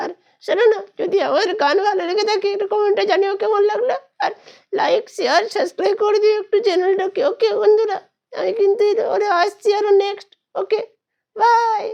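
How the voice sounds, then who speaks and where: A man performs a cartoonish character voice. His pitch is extremely high. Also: moderate pace. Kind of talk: comic ventriloquism. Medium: puppet show. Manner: cheeky, playful.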